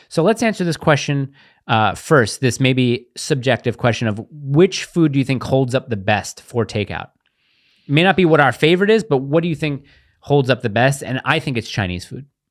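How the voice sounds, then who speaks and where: A man with an American accent speaks in an animated tone at a fairly high pitch and moderate pace, with lively intonation. The recording is very clean, with a silent background. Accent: New York, gets stronger talking about it. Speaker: podcast co-host. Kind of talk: casual chat.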